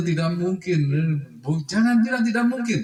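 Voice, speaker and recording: High-pitched male voice with lively intonation. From Java, Indonesia. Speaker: official speaker at cooperative meeting. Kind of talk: formal address at annual members meeting. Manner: blunt, outspoken.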